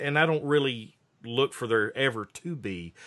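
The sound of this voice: A man speaks at a medium pitch and a fairly slow pace. His intonation is lively and his tone fairly bright.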